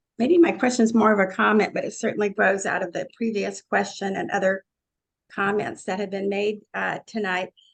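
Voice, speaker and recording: A woman speaks at medium pitch with vocal fry. Her pace is moderate, and her pitch varies in an ordinary way. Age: 70s. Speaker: audience member. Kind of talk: audience question.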